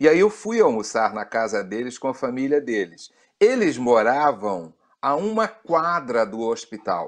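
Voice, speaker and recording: A man with a Rio de Janeiro accent speaks at a fairly slow pace and medium pitch. His pitch swings very widely over a quiet background. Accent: Carioca (Rio de Janeiro) Brazilian Portuguese. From Rio de Janeiro, Brazil (moved from Pará at six). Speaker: pastor. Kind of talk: interview, personal testimony.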